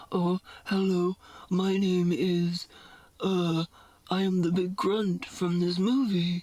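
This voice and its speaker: Putting on a character voice, a woman speaks at medium pitch in a monotone, flat delivery at a very slow pace, leaving long, frequent pauses. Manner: exaggerated, joking.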